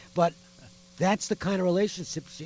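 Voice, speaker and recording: At a very fast pace, a man gets his words out. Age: 60s. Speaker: sports radio host. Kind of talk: casual radio talk.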